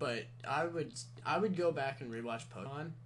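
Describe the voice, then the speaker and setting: A man's voice with audible room echo. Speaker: tattoo artist. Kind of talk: casual chat.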